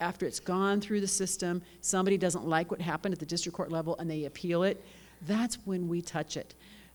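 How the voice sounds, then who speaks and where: A woman speaks at a fairly quick pace with a fairly low pitch and an American accent. Her intonation is fairly even in a normal speaking voice. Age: 60s. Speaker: judge. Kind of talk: conference welcome speech. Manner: casual, conversational.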